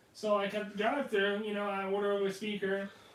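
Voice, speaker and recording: A man speaks at a moderate pace in a high voice, with noticeable background noise behind him. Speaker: podcast co-host. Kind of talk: casual chat.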